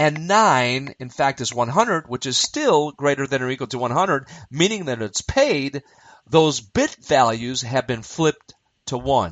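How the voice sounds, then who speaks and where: Lively intonation marks an ordinary speaking voice that proceeds at a fairly slow pace. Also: man, fairly high pitch for a man. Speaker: university instructor. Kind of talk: lecture.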